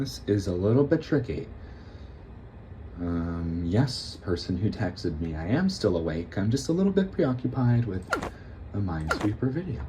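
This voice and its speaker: Pausing long and often at a moderate pace, a man speaks in a dark, mellow, somewhat breathy tone, his fairly low pitch making very wide swings. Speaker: gaming youtuber. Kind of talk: casual gameplay commentary. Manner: soft-spoken; halting.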